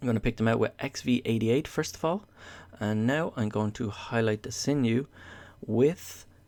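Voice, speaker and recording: Over a silent background in a very clean recording, a man talks fairly slowly at a medium pitch with ordinary pitch variation. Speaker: miniature painting youtuber. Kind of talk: tutorial voiceover. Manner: hesitant with filler sounds.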